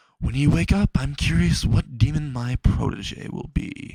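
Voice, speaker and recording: A man's put-on character voice at a moderate pace, full of very wide pitch swings. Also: medium pitch for a man. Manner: sinister, amused.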